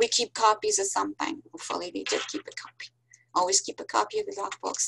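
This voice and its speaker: A woman with a French accent speaks at a fairly high pitch and a moderate pace. The sound is dry and close, with no echo. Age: 60s. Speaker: professor. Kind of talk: lecture. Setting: video call.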